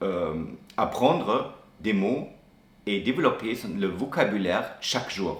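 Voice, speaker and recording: At a very slow pace, a man with a strong German accent and fairly low pitch speaks with lively intonation, amid noticeable background noise and audible room echo. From Germany. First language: German (speaking French). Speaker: expat interviewee. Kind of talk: interview. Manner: halting, many hesitations and restarts.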